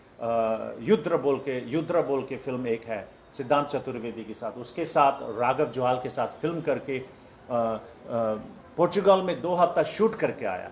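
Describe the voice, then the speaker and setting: Room echo is audible as a man speaks at a fairly high pitch. His pitch varies in an ordinary way. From India, Darjeeling hills. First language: not Hindi; Hindi is his sixth language (speaking Hindi). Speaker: film director. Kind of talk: press conference. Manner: halting, many fillers and restarts.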